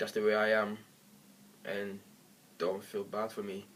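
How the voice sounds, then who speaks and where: Over noticeable background noise, a man speaks in a fairly low, monotone voice with flat intonation. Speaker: vlogger. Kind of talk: personal video monologue. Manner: halting.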